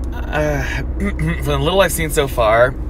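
The background noise is loud. The sound itself is dry, with no echo. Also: man. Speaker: driver vlogger. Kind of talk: casual vlog chat. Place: car. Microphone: phone near.

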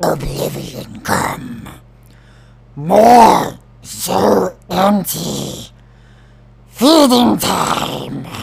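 A man puts on a raspy character voice, talking at a very slow pace with long, frequent pauses. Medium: voice reel. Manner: broken, clipped phrases.

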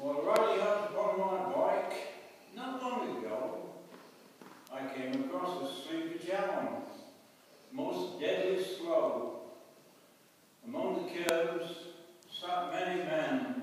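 Through strong room echo and light background noise, a man with a high voice speaks very slowly, leaving long, frequent pauses and making very wide pitch swings. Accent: East Midlands. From England, East Midlands. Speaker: poetry reader at church event. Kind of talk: poetry reading. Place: church. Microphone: camera far.

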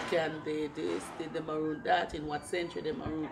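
Loud background noise surrounds a voice with a Jamaican accent speaking at a moderate pace. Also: woman. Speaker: Maroon community leader and tour guide. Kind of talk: interview explaining cultural heritage. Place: garden.

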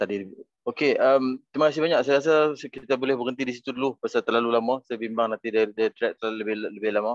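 A man with a medium pitch talks at a very fast pace with fairly even intonation. The sound is dry with no echo, over a quiet background. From Malaysia. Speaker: academy representative; webinar host or moderator. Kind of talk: closing remarks. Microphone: video call.

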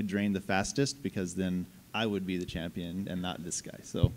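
The words come at a fairly quick pace from a man. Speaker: game writer; panelist. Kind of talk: convention panel talk. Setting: stage with audience. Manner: animated. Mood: jokey, warm. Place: hall. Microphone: handheld.

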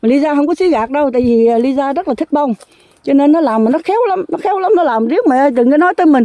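Over a quiet background with a dry sound and no echo, a woman speaks very fast at a high pitch with lively intonation. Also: very even loudness. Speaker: vlogger. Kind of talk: casual monologue vlog. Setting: outdoors in garden. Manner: rambling, conversational. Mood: warm, chatty. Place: garden. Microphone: phone near.

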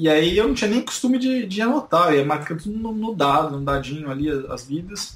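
Against noticeable background noise, a man speaks with very wide pitch swings. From Brazil, São Paulo. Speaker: YouTuber. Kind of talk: interview.

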